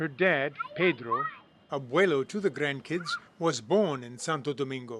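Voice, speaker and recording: There is noticeable background noise behind a man talking. His pitch is fairly high, with ordinary variation, at a moderate pace. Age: 70s. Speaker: documentary filmmaker and narrator. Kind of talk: scripted narration.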